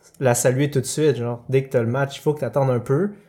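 On a very clean recording with a silent background, a man speaks in a Quebec accent with a fairly high pitch and a somewhat breathy voice. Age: 20s. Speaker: occupational therapy student. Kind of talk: casual chat.

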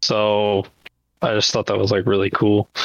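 A man with an ordinary speaking voice and a fairly low pitch talks at a moderate pace. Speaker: patron chat participant. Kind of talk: casual group chat. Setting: live video chat.

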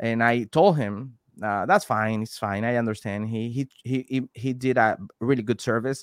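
Someone with a Venezuelan accent talks at a moderate pace with fairly even intonation, the sound dry and close with no echo. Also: man, medium pitch for a man. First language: Spanish. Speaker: delivery driver and YouTuber, guest co-host. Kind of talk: casual chat. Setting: video call. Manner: halting, frequent repetitions and self-corrections.

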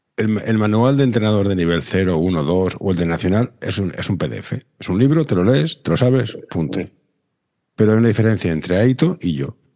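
A man's fairly low, dark and mellow voice at a fairly quick pace. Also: lively intonation. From Barcelona. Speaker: podcast host. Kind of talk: casual chat.

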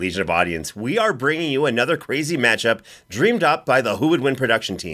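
Over a silent background in a very clean recording, a man talks very fast at a medium pitch with very wide pitch swings. His bright, sharp tone carries some vocal fry. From Canada. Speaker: podcast host.

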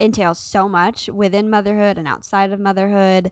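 A woman with an unremarkable speaking voice talks at medium pitch and a moderate pace against a quiet background. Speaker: podcast co-host. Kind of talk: casual chat. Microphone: holding mic close to mouth.

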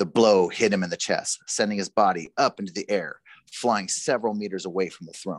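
Someone reads in an unforced voice. The delivery stays unforced from start to finish.

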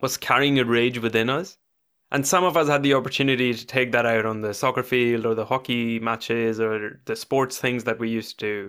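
A man speaks fairly quickly at medium pitch in a plain, everyday voice. His intonation is fairly even, on a very clean recording with a silent background. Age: 20s. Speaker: podcast host. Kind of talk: casual chat; scripted intro.

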